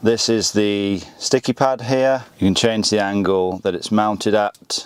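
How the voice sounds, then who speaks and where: A man speaks with a British accent at a fairly low pitch. His pace is fairly slow, with ordinary pitch variation. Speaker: car YouTuber. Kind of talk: product review.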